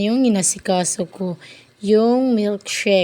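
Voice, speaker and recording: Fairly even intonation and a dark, mellow tone carry this voice along at a moderate pace. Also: woman. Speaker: vlogger. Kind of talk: cooking vlog voice-over. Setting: voice-over. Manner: low-energy, flat.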